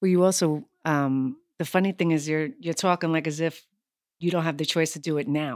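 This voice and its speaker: With an American accent, the speaker goes at a fairly quick pace with ordinary pitch variation, recorded very cleanly against a silent background. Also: woman, very deep, low pitch for a woman. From New York City, Lower East Side. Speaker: actress and yoga instructor. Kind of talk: casual chat.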